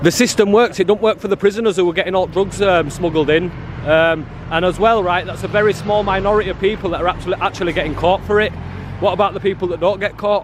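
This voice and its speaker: A high-pitched man with a northern English accent speaks at a very fast pace through noticeable background noise. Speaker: activist filming outside a prison. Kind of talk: street confrontation interview. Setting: outdoors. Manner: loud; animated.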